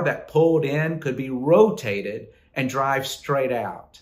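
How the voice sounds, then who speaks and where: A man's voice at a fairly slow pace with ordinary pitch variation. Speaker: pastor. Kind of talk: devotional reflection. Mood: warm, smiling. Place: office. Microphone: phone near.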